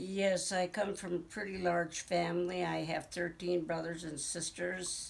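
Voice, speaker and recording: A woman with an American accent speaks at a fairly slow pace in a fairly low, monotone, flat voice with hardly any pauses, over noticeable background noise. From Green Bay, Wisconsin. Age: 70s. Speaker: interviewee, family elder. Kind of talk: oral history interview. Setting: at her home.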